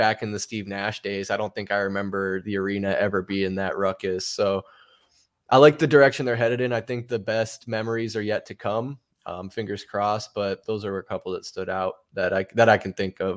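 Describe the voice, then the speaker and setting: In a very clean recording with a silent background, a man with an unremarkable speaking voice talks at a fairly quick pace, his pitch fairly low and his intonation fairly even. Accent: American. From Arizona. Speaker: basketball podcast co-host. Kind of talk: casual chat.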